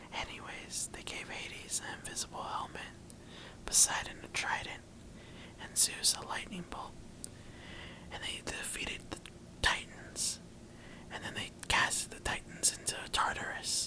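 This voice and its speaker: The whispered speech has a soothing tone, a fairly slow pace and long, frequent pauses, over noticeable background noise. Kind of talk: ASMR boyfriend-roleplay bedtime reading of Greek mythology, quiet and intimate. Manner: quiet, whispering, soothing.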